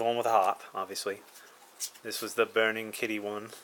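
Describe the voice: With a fairly bright tone and a fairly low pitch, a man talks at a fairly quick pace with little pitch movement.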